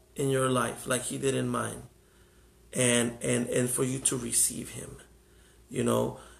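A man with an American accent speaks at a fairly slow pace with long, frequent pauses, and the room echo is audible. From Mexico, Guadalajara; raised in the US from age 6-7. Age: 30s. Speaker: pastor. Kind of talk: testimony turning into an altar-call style preached invitation. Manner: fervent, rising preacher cadence with calls for response; earnest, emotional, with halting repetitions.

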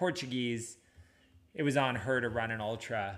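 A man's medium-pitched voice with a bright, sharp tone, at a moderate pace, with ordinary pitch variation. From Washington State (Anacortes). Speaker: running podcast host, running store owner. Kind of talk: casual chat.

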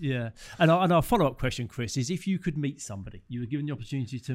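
With a British accent, a man at medium pitch talks at a very fast pace in lively intonation on a very clean recording with a silent background. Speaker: podcast host. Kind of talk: casual interview chat.

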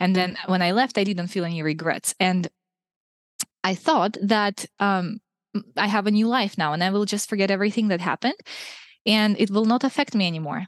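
Speaking with a Russian accent at a medium pitch, a woman uses ordinary pitch variation and long, frequent pauses in a dry, close recording with no echo. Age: 20s. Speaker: food blogger and former missionary. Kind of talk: interview conversation.

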